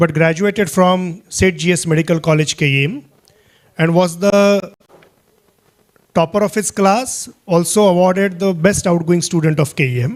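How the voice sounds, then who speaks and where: Speaking with a Marathi accent, the voice has ordinary pitch variation, a moderate pace, very even loudness and long, frequent pauses. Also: man, high pitch for a man. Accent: Indian English, Marathi. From Maharashtra, India. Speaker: guest speaker, program leader. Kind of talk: talk. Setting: auditorium with audience.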